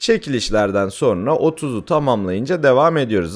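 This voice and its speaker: Very wide pitch swings in a man's mid-range voice. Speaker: gaming YouTuber and streamer. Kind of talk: gameplay tutorial. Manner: hesitant fillers.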